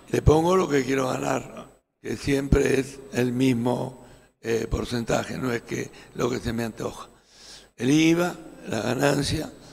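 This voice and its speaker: A man talks at a very slow pace, leaving long, frequent pauses. His pitch varies in an ordinary way. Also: medium pitch for a man. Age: 70s. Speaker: small business association leader. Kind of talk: panel discussion.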